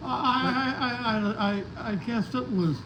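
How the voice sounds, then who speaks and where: Very slowly, a man talks in an American accent. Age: 80s+. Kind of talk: interview answer.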